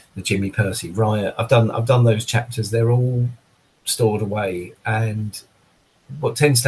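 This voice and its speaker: This man's fairly even intonation and moderate pace come through a somewhat breathy voice. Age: 60s. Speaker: drummer. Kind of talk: casual chat.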